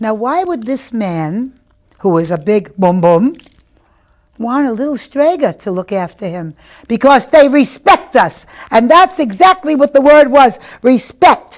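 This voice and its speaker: Her pitch is high and swings very widely. The woman talks at a fairly slow pace. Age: 60s. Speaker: witch and psychic, coven leader. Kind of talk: interview. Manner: animated.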